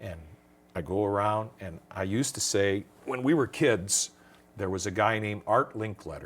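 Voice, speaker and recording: In an American accent, a man speaks at a moderate pace with a fairly low pitch and ordinary pitch variation. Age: 60s. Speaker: singer and entertainer. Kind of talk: interview. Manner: animated.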